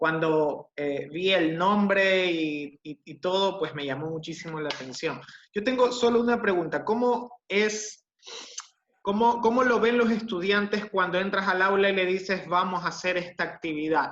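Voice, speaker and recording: This man talks at a fairly slow pace in a high pitch. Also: ordinary pitch variation. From Ecuador. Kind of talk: audience question. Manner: halting.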